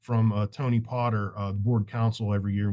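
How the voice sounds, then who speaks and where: A man speaks in a dark, mellow tone with flat, monotone intonation. The background is quiet. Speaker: leader of a professional architects' association. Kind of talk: virtual town hall presentation. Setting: video call. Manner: fast.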